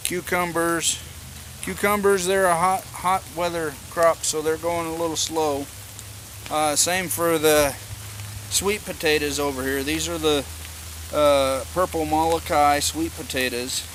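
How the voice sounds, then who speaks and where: A man speaks at a fairly slow pace with an American accent, his pitch fairly high and ordinary in its variation. Noticeable background noise runs under the recording. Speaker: homesteading vlogger. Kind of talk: casual garden tour vlog. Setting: outdoors.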